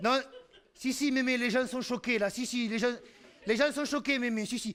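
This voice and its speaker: Speaking at a fairly slow pace, a man has an extremely high pitch and fairly even intonation. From Occitania, southern France. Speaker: storyteller. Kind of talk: humorous live storytelling performance. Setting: theatre stage.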